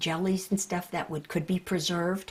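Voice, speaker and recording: A woman's somewhat breathy, fairly low voice with an American accent at a moderate pace. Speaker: hall of fame inductee. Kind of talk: documentary interview, reminiscing. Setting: on location, home visit.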